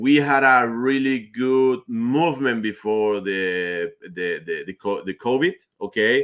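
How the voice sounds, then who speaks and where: A man speaks with a Spanish accent in a bright, sharp tone at medium pitch. His pace is fairly slow, and the recording is very clean with a silent background. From Argentina. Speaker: finance manager. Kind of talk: interview. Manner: halting, with pauses.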